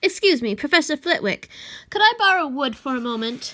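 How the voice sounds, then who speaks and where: In a put-on character voice, a woman talks fairly quickly at a high pitch with very wide pitch swings, on a very clean recording with a silent background. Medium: read story. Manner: stern, commanding.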